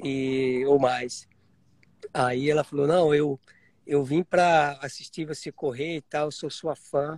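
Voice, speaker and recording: The speech moves at a very slow pace in a monotone, flat delivery. The sound is dry and close, with no echo. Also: man, fairly high pitch for a man. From Piedade, interior of São Paulo, Brazil. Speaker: marathon champion runner. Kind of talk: casual chat.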